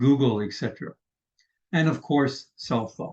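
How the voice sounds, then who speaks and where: A man's voice sits fairly high in pitch. It is somewhat breathy, with ordinary pitch variation. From Canada. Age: 80s+. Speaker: vlogger. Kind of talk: casual vlog talk. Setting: screen-share recording.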